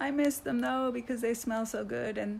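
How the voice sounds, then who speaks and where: A woman with an American accent is heard through noticeable background noise. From outside the US. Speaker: wellness coach. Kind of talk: live video talk. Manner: fast.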